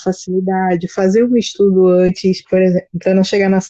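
Her dark, mellow tone and monotone, flat intonation mark this woman, who talks at a fairly quick pace. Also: dry, close sound with no echo. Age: 30s. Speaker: teacher. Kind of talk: casual chat. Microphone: poor audio quality.

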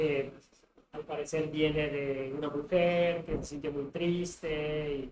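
This man's voice sits fairly high in pitch and keeps a monotone, flat intonation. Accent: Mexican. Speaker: tattoo artist. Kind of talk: casual chat.

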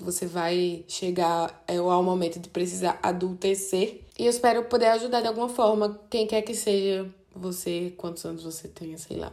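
A woman speaks at medium pitch and a moderate pace, with a dark, mellow tone and hardly any pauses. Her intonation is fairly even, but her loudness swings widely. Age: 20s. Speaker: podcast host. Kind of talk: personal monologue.

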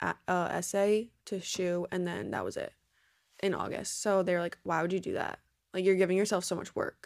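Speaking fairly quickly, a woman with an American accent has a medium pitch and monotone, flat intonation. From New Jersey. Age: 20s. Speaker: exercise science student. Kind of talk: casual chat.

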